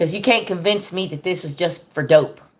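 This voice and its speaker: A woman's fairly low, animated voice at a fairly slow pace. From Texas. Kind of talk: political rant on livestream.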